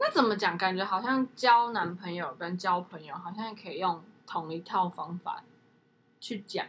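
In a normal speaking voice, a woman at medium pitch talks at a moderate pace with ordinary pitch variation and big swings in loudness. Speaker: podcast co-host. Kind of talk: casual chat.

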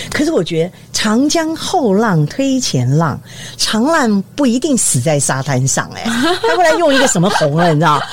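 Over noticeable background noise, a woman with a fairly high pitch speaks at a moderate pace, her pitch swinging very widely. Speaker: retired TV news director. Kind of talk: casual interview chat.

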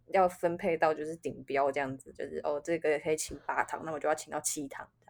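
A woman's very deep, low voice, monotone and flat, at a very fast pace. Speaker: podcast co-host. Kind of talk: casual chat.

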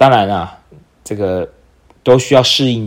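The man's pitch varies in an ordinary way. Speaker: podcast host and entrepreneur. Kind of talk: solo podcast monologue.

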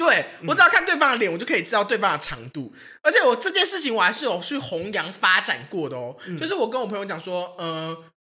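A woman's animated, very fast delivery at medium pitch, with very wide pitch swings and big swings in loudness. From Taiwan, Hsinchu. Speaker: podcast co-host. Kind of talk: casual chat.

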